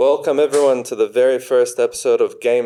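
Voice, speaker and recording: Speaking in an Australian accent, a man talks at a moderate pace. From Australia, Sydney. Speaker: podcast host. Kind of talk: casual chat.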